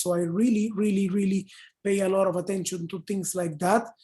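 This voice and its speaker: A woman with a Spanish accent talks at a fairly quick pace. Her voice sits at medium pitch with a dark, mellow tone. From Panama. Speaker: advertising copywriter. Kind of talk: online panel Q&A. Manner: animated, many fillers.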